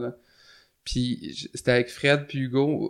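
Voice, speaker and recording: A man speaks with fairly even intonation. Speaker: punk musician and show promoter. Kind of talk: casual interview.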